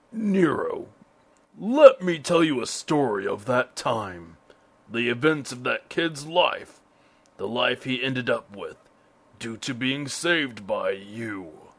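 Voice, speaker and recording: A raspy put-on character voice speaks at a fairly slow pace. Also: man, medium pitch for a man. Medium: cartoon. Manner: grave, philosophical.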